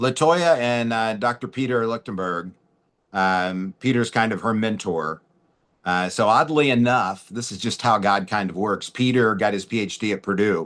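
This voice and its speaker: A normal speaking voice from a man, fairly low in pitch, over a quiet background. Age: 50s. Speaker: webinar host. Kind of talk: casual chat.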